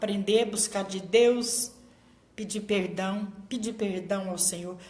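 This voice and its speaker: A woman speaks at a fairly slow pace with ordinary pitch variation, her voice carrying audible room echo over noticeable background noise. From Brazil, small inland town. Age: 60s. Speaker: pastor. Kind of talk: sermon.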